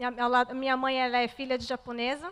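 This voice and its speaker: In a Brazilian accent, a woman speaks at a high pitch with a bright, sharp tone. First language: Portuguese (speaking French). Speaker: churchgoer giving testimony. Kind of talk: testimony. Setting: church.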